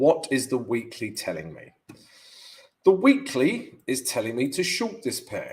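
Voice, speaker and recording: A man with a London accent, his loudness swinging widely, at a fairly slow pace. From London, England. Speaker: forex trader and analyst. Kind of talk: live trading stream analysis. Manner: casual, filler-heavy (um, yeah, all right).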